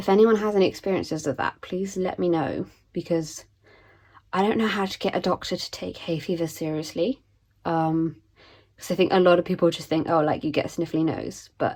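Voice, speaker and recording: A woman with a British accent talks at a fairly low pitch, her intonation fairly even. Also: very clean recording, silent background. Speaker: budgeting content creator. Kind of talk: casual vlog chat. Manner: hesitant, many ums.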